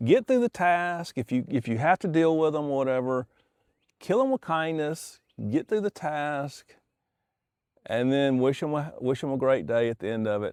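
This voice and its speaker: A man with an ordinary speaking voice and a fairly high pitch talks at a moderate pace over a quiet background. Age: 60s. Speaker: YouTuber sharing life advice. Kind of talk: casual monologue while fishing. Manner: relaxed, with frequent fillers and restarts.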